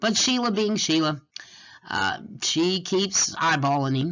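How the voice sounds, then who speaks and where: A woman with a Texan accent talks at a fairly slow pace in a fairly low pitch. Her voice has vocal fry and very wide pitch swings. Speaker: college writing instructor. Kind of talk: lecture. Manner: conversational.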